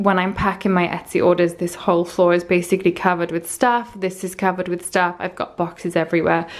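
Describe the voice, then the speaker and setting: A plain, everyday voice: a woman at a fairly low pitch, with fairly even intonation and a moderate pace. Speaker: Etsy shop owner. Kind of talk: casual talk to camera.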